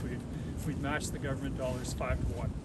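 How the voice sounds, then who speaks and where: A man speaks with a Canadian accent. The recording carries noticeable background noise and audible room echo. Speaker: conservation organization executive. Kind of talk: outdoor public announcement speech. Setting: outdoors in snow.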